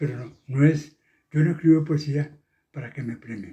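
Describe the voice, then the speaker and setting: A man speaks at a moderate pace in a fairly high pitch, his somewhat breathy voice carrying a dark, mellow tone. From Costa Rica, Turrialba. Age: 80s+. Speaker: poet. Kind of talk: interview. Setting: at home.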